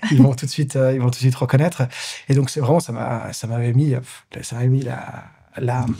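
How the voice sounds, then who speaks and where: Somewhat breathy and dark, mellow in tone, a man at medium pitch talks at a fairly quick pace with fairly even intonation and long, frequent pauses. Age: 30s. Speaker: pianist, composer and entrepreneur. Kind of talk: interview. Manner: fast; clear articulation.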